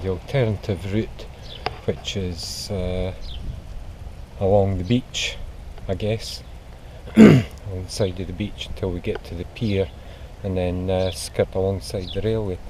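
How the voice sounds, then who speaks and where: A man with a Scottish accent and a very deep, low voice, speaking at a fairly slow pace with ordinary pitch variation and long, frequent pauses amid noticeable background noise. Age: 60s. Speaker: amateur runner vlogger. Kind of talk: casual vlog narration. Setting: outdoors. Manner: hesitant, many fillers.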